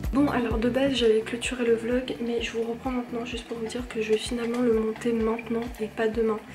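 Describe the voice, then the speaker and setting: A soft-spoken woman talks at a fairly high pitch. Background noise is noticeable. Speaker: vlogger. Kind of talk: vlog chat. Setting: at home late at night. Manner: hesitant, many fillers.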